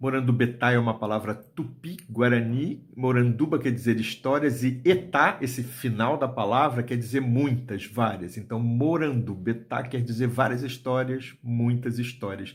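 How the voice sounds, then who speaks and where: Somewhat breathy and medium in pitch, a man speaks at a fairly slow pace with fairly even intonation and hardly any pauses. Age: 60s. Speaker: writer and storyteller. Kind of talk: video talk to book fair audience. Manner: hesitant, with fillers.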